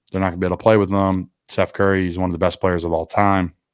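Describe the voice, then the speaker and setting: In a very clean recording with a silent background, a man with a Philadelphia accent speaks very fast at a very deep, low pitch, the sound dry and close with no echo. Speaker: podcast host. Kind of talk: casual chat. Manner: animated.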